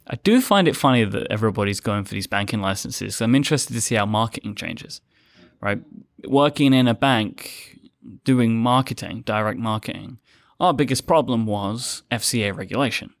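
With a medium pitch and ordinary pitch variation, a man talks at a fairly quick pace in an ordinary speaking voice, recorded very cleanly against a silent background. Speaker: podcast network co-founder. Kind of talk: casual panel chat.

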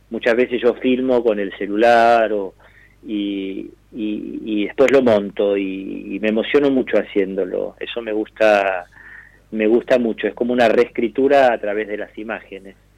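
A man speaks slowly-ish, at a fairly slow pace with fairly even intonation and a fairly low pitch. He has an unremarkable speaking voice. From Argentina. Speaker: actor. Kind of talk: interview.

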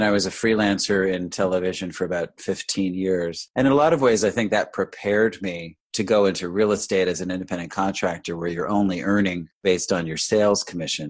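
Against a quiet background, the speaker talks at a fairly quick pace with an American accent, fairly even intonation and hardly any pauses. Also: man. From New York, Westchester County. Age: 50s. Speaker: real estate broker. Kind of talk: interview.

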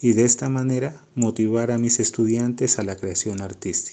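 A man speaks at a fairly slow pace with a medium pitch. His intonation is fairly even, with a dark, mellow tone. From Colombia, Pasto (Nariño). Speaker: art teacher and airbrush artist. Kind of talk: interview.

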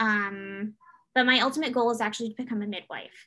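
A woman speaks with a Canadian accent at a fairly high pitch. Her tone is bright and sharp, her intonation fairly even. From Canada, Toronto. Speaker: doula and former military member. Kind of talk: casual interview.

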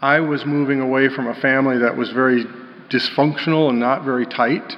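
With a General American accent, a man speaks in a medium pitch at a moderate pace. His intonation is monotone and flat, and there is noticeable background noise. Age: 60s. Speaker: pastor. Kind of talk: sermon. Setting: church.

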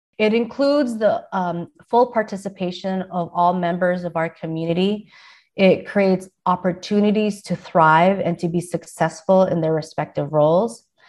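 With an American accent, the speaker talks at a moderate pace with ordinary pitch variation. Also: woman, medium pitch for a woman. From San Diego, US. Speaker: university diversity administrator. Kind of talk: interview. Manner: hesitant fillers.

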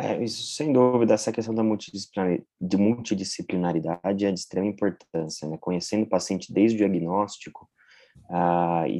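Against a quiet background, a man speaks at a fairly quick pace. His dark, mellow voice is fairly low, with ordinary pitch variation. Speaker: radiation oncologist. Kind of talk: professional panel discussion.

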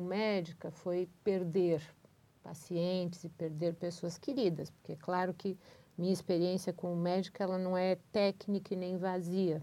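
A woman speaks in a dark, mellow tone. Her intonation is monotone and flat. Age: 50s. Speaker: doctor. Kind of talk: casual chat.

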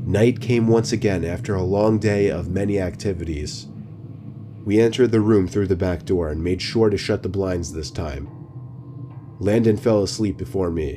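A man speaks at a moderate pace in a fairly low pitch with lively intonation while music plays in the background. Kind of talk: true-crime horror narration, first-person scary story told in a hushed, suspenseful way. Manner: earnest, uneasy storytelling tone.

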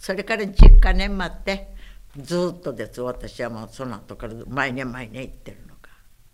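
A woman with a very deep, low pitch talks at a moderate pace, her pitch swinging very widely and her loudness shifting a lot, over noticeable background noise. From Okinawa, after childhood in Saipan. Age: 90s. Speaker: war survivor and civic activist. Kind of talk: oral history interview.

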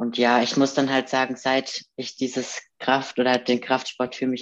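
A woman speaks in a very deep, low voice with monotone, flat intonation. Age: 20s. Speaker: professional bodybuilder. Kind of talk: interview.

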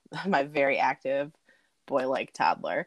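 A woman with a very deep, low pitch speaks in a dry, close sound with no echo. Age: 40s. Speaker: corporate trainer. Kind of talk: casual chat. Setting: video call. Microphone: poor sound quality.

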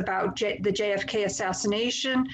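Speaking at a fairly slow pace with an American accent, a woman with an unremarkable speaking voice uses ordinary pitch variation. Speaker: podcast host. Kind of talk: casual chat.

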